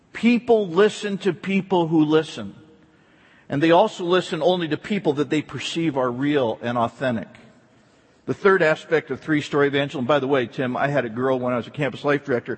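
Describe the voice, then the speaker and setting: A man with an ordinary speaking voice talks at a fairly high pitch using lively intonation. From US East Coast. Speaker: pastor. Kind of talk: sermon.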